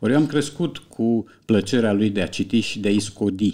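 A man is speaking at a moderate pace. Behind him, the background is quiet. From Romania. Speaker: writer and translator; podcast guest. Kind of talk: casual chat. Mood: calm, reflective, wry. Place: studio. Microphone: studio mic.

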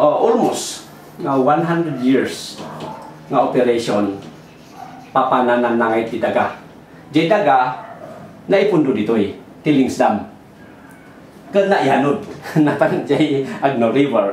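A man speaks with long, frequent pauses. Music plays in the background, and the room echo is audible. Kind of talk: explanatory talk at a whiteboard. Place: office.

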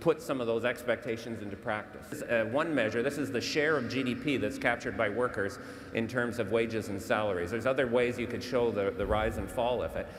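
A man's fairly even intonation with hardly any pauses over light background noise. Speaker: panelist. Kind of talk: panel debate answer. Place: stage. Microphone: lapel.

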